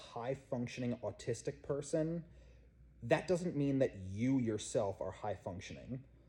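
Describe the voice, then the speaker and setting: Somewhat breathy, a man talks in a dark, mellow tone with lively intonation. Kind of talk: personal testimony.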